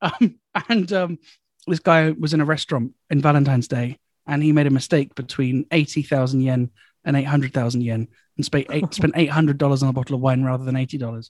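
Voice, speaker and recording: With an English accent, a man speaks at a moderate pace with ordinary pitch variation, and the sound is dry and close with no echo. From England. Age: 20s. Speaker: comedian. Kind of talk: casual chat.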